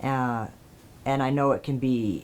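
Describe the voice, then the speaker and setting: At a fairly slow pace, a man speaks with a medium pitch and monotone, flat intonation. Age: adult, transitioning for eight months. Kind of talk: casual vlog monologue. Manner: hesitant, many fillers.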